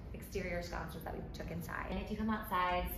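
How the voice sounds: A woman speaks at a fairly quick pace with a fairly low pitch. Audible room echo and clear background noise surround her. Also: fairly even intonation.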